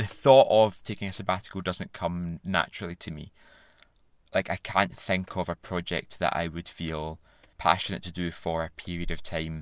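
A man speaks with a very deep, low pitch, ordinary pitch variation and big swings in loudness. The recording is very clean, with a silent background. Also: moderate pace. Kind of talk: casual chat.

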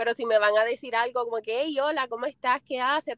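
Recorded in a dry, close sound with no echo, a woman with a slight Puerto Rican accent talks at a fairly high pitch. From Puerto Rico. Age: 20s. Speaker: foot content creator. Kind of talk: interview. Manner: smiling while speaking.

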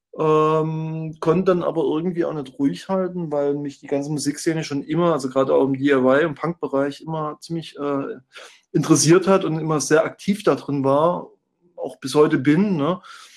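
A man talks at a moderate pace with fairly even intonation and a fairly high pitch. He has a plain, everyday voice. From former East Germany. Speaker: music blog founder and former concert promoter. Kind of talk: casual chat.

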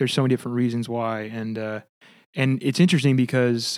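At a fairly quick pace, a man with an American accent speaks at a medium pitch with ordinary pitch variation. The recording is very clean, with a silent background. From California. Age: 20s. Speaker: Civil War history enthusiast, tech company employee. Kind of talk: casual chat.

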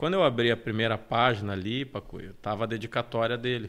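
A man talks in an unremarkable speaking voice, medium-pitched with ordinary pitch variation, at a moderate pace. The recording is very clean with a silent background. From Porto Alegre, southern Brazil. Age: 30s. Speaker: life coach. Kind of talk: interview conversation. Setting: live stream studio.

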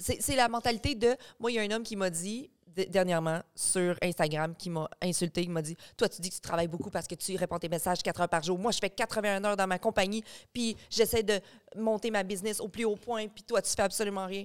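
A woman with an unremarkable speaking voice talks at a fairly quick pace, at medium pitch with ordinary pitch variation. The recording is very clean with a silent background and a dry, close sound with no echo. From Quebec, Beauce region. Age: 30s. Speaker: online content creator. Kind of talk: casual chat.

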